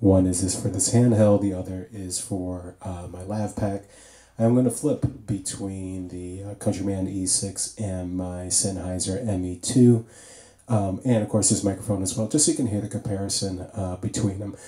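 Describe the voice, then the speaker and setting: In a quiet background with audible room echo, a man speaks at a moderate pace, his fairly low, somewhat breathy voice using fairly even intonation. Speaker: DJ reviewing microphones. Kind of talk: tutorial. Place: home room.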